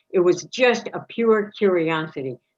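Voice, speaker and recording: The woman's pitch moves in very wide swings. She talks with an American accent. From upstate New York (Watertown). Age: 70s. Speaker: forum participant. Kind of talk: personal testimony in panel discussion. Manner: halting.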